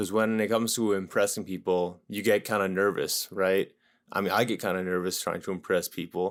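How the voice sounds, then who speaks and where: A man's plain, everyday voice, fairly low-pitched, with ordinary pitch variation at a moderate pace, on a very clean recording with a silent background. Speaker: podcaster. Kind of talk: casual podcast talk. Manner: casual, conversational.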